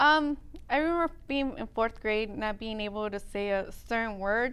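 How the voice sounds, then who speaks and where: Her pace is moderate and her intonation lively. The woman's pitch sits fairly high. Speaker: after-school program teacher. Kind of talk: interview.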